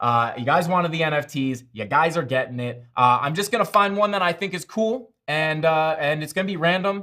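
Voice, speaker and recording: An animated man with a Long Island accent talks at a fairly quick pace, his fairly high voice bright and sharp in tone and his intonation lively. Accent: Long Island New York. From Long Island, New York. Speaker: crypto live streamer. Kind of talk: live stream chat. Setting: live stream.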